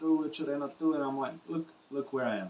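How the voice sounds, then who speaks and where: A man with a Portuguese accent and a fairly high pitch is heard over noticeable background noise. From Brazil. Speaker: musician and vlogger. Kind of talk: casual vlog monologue to camera. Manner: unscripted, casual with fillers.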